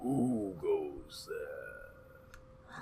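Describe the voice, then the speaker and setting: Clear background noise runs under a man doing a put-on character voice. It is raspy and extremely high in pitch. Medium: actual play. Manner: haughty.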